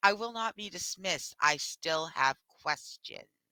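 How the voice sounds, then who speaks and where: A female-sounding, put-on character voice growls at a medium pitch and a moderate pace. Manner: snarling.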